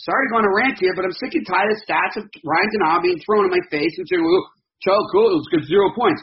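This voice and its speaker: A man with a high voice and an American accent, talking at a very fast pace. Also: ordinary pitch variation. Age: 40s. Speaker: sports podcast host. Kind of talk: casual sports talk interview.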